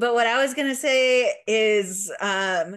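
A woman's pitch varies in an ordinary way, and the background is quiet. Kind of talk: casual chat.

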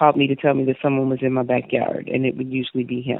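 A woman with an American accent, very deep, low pitch and a very fast pace. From US Midwest, Chicago. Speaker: domestic violence survivor. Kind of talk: personal testimony in an interview.

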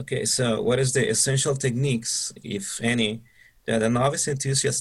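Over a quiet background, a man with a Spanish accent speaks at a moderate pace in a somewhat breathy voice. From Mexico. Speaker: bonsai club member interviewer. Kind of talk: interview.

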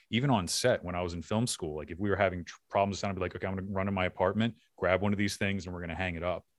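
Over a quiet background, a man with a Philadelphia accent talks at a very fast pace with hardly any pauses, his very deep, low voice keeping fairly even intonation. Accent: faint Philadelphia. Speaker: podcast host and filmmaker. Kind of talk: casual interview.

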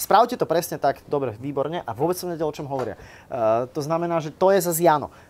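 A man talks at a very fast pace. His fairly high voice moves with lively intonation. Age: 30s. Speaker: YouTuber and vlogger. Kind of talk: live interview before an audience.

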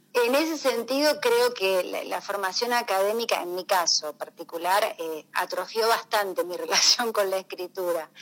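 Speaking with an Argentine accent, a woman with a medium pitch talks at a moderate pace with lively intonation and hardly any pauses. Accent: Rioplatense Argentine Spanish. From Rosario, Argentina. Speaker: poet. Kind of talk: radio interview. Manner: halting.

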